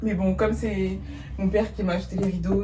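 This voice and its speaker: A woman at a very fast pace, with noticeable background noise and audible room echo. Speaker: lifestyle vlogger. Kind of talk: casual vlog talk to camera. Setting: at home in her bedroom.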